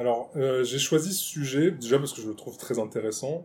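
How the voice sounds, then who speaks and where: A man speaks with a dark, mellow tone at a medium pitch, somewhat breathy. His pitch varies in an ordinary way. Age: 30s. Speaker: improv actor. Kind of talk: casual chat. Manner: halting.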